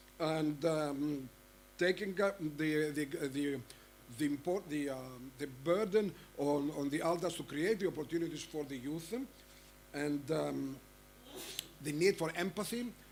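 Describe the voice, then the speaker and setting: With an Arabic accent, a man speaks at a fairly high pitch and a fairly slow pace, with ordinary pitch variation and long, frequent pauses. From Egypt. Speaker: panel moderator. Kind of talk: conference panel moderation. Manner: halting, many fillers.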